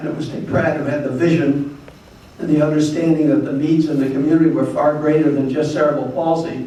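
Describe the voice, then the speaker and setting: Over noticeable background noise and audible room echo, a man talks at a fairly quick pace in a fairly high, monotone voice with flat intonation. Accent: American. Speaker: retired doctor, former board president. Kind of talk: awards ceremony speech. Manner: fast.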